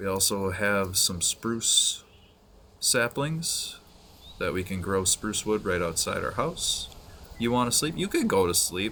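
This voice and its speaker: A soft-spoken man at a fairly slow pace. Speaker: gaming streamer. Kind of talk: casual gameplay commentary. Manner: soft-spoken, keeping quiet; subdued, low energy.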